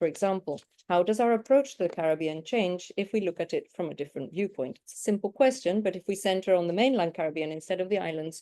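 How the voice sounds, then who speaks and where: With an English accent, a woman talks at a very fast pace in a dark, mellow tone of medium pitch and ordinary pitch variation. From United Kingdom. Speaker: academic researcher presenting. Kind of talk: academic conference presentation.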